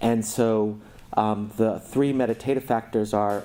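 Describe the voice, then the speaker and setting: A man with an American accent speaks at a fairly slow pace in a dark, mellow tone, his medium-pitched voice held in a flat monotone. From New York. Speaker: clinician and mindfulness teacher. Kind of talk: Q&A talk at a retreat. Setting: retreat with participants.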